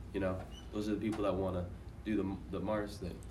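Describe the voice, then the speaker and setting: Noticeable background noise surrounds a man speaking at a fairly low pitch. His pace is fairly quick and his intonation fairly even. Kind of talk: casual group chat.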